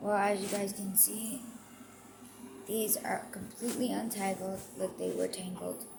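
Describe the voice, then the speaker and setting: A woman speaks at a medium pitch and fairly slow pace. Her intonation stays fairly even over noticeable background noise. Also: long, frequent pauses. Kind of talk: casual talk to camera.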